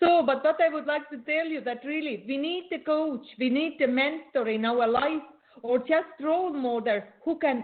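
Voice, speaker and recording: A woman with a non-native accent talks at a fairly slow pace. Her pitch varies in an ordinary way. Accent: non-native English, noticeable. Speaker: beauty and coaching expert. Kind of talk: interview. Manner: halting, repeats words.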